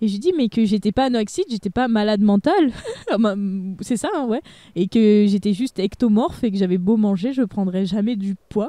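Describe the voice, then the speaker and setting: A woman with a dark, mellow tone talks at a fairly quick pace in a dry, close sound with no echo. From France, Haute-Savoie. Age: 20s. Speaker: youtuber. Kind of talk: casual chat.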